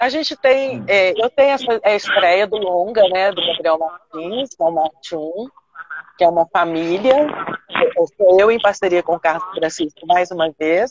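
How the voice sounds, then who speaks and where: A woman with a Minas Gerais accent, medium pitch and lively intonation, at a fairly slow pace. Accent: Mineiro Brazilian Portuguese. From Belo Horizonte, Minas Gerais, Brazil. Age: 60s. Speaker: stage and film actress. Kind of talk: interview on a live stream.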